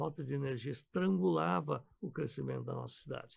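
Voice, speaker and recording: A man speaks at a fairly quick pace with vocal fry and very wide pitch swings. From Brazil. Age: 70s. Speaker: physician and businessman, former state deputy. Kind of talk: radio interview.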